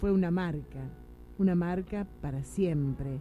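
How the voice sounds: Her tone is dark and mellow, at a fairly low pitch with ordinary pitch variation. The woman talks at a fairly slow pace.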